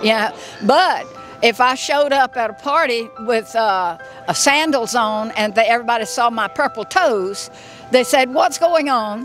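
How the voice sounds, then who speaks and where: Against music in the background, a woman with a Southern US accent speaks fairly slowly at a fairly high pitch, her voice swinging very widely. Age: 80s+. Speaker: masters athlete. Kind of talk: interview. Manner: halting.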